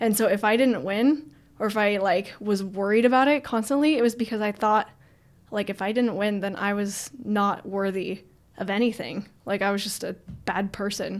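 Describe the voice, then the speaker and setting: Her pace stays moderate, with ordinary pitch variation and a medium pitch. A woman talks in a plain, everyday voice. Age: 20s. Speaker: professional parkour athlete. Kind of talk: casual interview chat.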